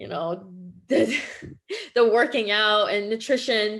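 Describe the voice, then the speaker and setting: A woman with a Quebec accent speaks at a very slow pace. Her pitch is fairly high. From Quebec, Canada. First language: French. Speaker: holistic nutritionist. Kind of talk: interview conversation.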